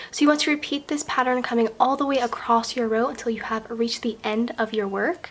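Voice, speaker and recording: Ordinary pitch variation and a fairly quick pace mark this speech, heard against noticeable background noise. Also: woman. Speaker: crochet tutorial maker. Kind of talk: tutorial. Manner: step-by-step instructional.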